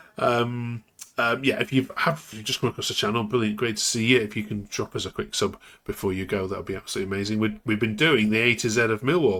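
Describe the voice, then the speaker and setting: Ordinary pitch variation at a very fast pace. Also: man. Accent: English Midlands. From English Midlands. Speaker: football podcast host. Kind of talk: casual chat.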